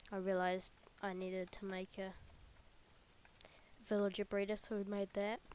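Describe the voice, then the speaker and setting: A quiet woman's voice at a medium pitch, monotone with flat intonation. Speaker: gaming YouTuber. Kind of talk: let's play commentary.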